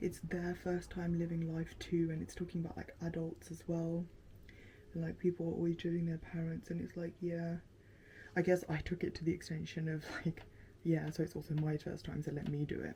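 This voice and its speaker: Somewhat breathy and fairly low-pitched, a woman talks at a fairly quick pace in a flat, monotone delivery. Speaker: lifestyle vlogger. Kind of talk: casual vlog chat while doing makeup. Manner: chatty, many fillers.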